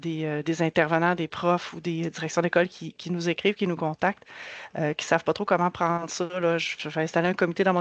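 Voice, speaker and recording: A woman speaks very fast in a fairly low pitch with a Quebec accent, her intonation monotone and flat. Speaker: community organization worker. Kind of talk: presentation. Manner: halting, many repetitions.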